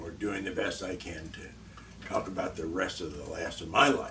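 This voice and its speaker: There is audible room echo and noticeable background noise as a man talks at a fairly slow pace. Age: 70s. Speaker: vlogger. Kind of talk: unscripted monologue. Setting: alone in front of a camera. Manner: halting, with many fillers.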